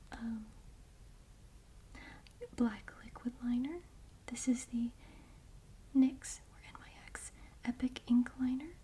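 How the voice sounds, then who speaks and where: Soft-spoken and very slow, a woman uses a high pitch and a dark, mellow tone with fairly even intonation, long, frequent pauses and big swings in loudness. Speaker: ASMR creator. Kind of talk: ASMR makeup bag tour.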